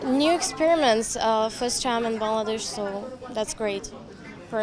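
Amid crowd noise and audible room echo, a woman speaks at a fairly high pitch with ordinary pitch variation. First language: not Bengali; Turkish or Russian (speaking Bengali). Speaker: fashion model. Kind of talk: casual interview. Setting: fashion show event. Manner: halting.

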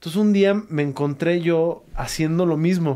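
A man's dark, mellow tone comes through over a quiet background. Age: 30s. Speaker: podcast host. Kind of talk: casual interview conversation. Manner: halting, many repetitions. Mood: calm, reflective. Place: studio. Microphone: studio mic.

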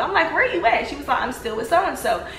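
Light background noise and audible room echo around a female voice. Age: 20s. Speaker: social media personality. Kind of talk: testimony; casual storytelling vlog. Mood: animated, telling personal drama. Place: home room. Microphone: phone near.

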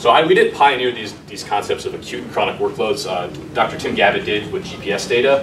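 With noticeable background noise behind him, a man talks at a fairly quick pace in an American accent, his loudness swinging widely. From Wisconsin (Beloit); Wisconsin. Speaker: sports technology founder; presenter. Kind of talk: lecture. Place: classroom. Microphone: camera far.

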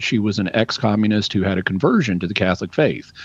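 A man speaks with a Southern US accent. The sound is dry with no echo, and the background is quiet. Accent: Southern US, drops final g. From Arkansas. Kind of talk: radio call-in answer. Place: home room. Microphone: studio mic.

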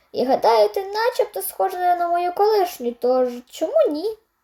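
In a cartoonish character voice, a woman speaks at a moderate pace with an extremely high pitch and very wide pitch swings.

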